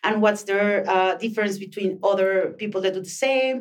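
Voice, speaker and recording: A woman with a Mexican accent, at a moderate pace. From northern Mexico, Chihuahua. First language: Spanish. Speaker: co-working space communications manager and author. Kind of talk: interview. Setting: podcast room at a co-working space.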